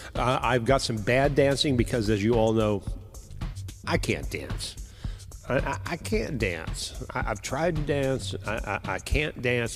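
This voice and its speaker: A man's medium-pitched voice at a fairly slow pace, with ordinary pitch variation and music in the background. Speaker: live show host. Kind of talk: casual live stream talk to viewers.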